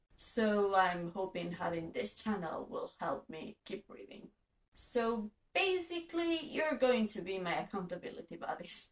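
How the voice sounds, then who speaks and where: A woman's medium-pitched, somewhat breathy voice in a Catalan accent at a fairly slow pace, with very wide pitch swings and big swings in loudness. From Spain (Catalan-speaking). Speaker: booktuber. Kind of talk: casual vlog monologue.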